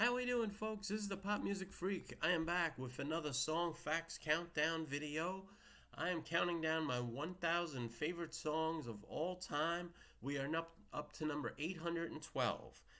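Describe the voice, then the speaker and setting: In a New York accent, a man talks at a moderate pace with a high pitch and a bright, sharp tone. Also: ordinary pitch variation. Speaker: music video blogger. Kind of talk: casual monologue with read-out facts.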